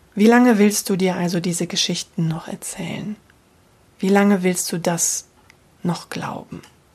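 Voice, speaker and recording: Speaking fairly slowly with long, frequent pauses, a woman uses a medium-pitched, somewhat breathy voice and fairly even intonation. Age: 40s. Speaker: voice and communication coach. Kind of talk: solo podcast monologue. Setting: home office.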